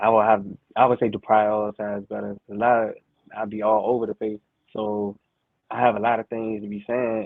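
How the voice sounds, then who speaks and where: A man with an American accent speaks in a calm tone at a moderate pace, his fairly low pitch held in a monotone, flat intonation, with long, frequent pauses and big swings in loudness. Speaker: rap artist. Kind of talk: interview. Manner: even, calm level tone; halting.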